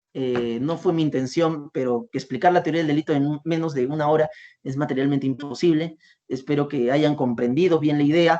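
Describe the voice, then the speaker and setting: Fairly quick delivery from a man with a fairly high pitch. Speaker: law lecturer. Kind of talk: lecture. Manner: variable pace, sometimes fast.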